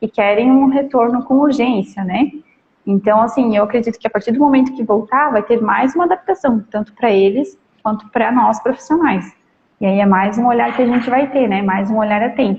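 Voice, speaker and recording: A woman's fairly high pitch at a moderate pace, an ordinary speaking voice with ordinary pitch variation. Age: 30s. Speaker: preschool teacher. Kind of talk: casual chat. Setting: live stream.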